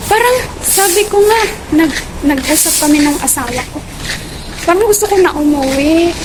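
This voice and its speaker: A woman speaks at a moderate pace with an extremely high pitch and lively intonation, leaving long, frequent pauses. The recording carries noticeable background noise and audible room echo. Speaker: domestic helper vlogger. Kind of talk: casual vlog. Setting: outdoors, walking to market.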